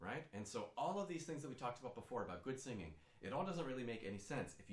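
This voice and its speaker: A man at a very fast pace with very wide pitch swings, plus audible room echo. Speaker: singing teacher. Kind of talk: tutorial.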